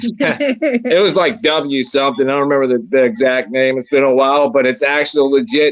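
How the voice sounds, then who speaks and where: A man with a Maryland accent talks at a moderate pace. His pitch is medium, with ordinary variation. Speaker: paranormal investigator. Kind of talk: casual chat.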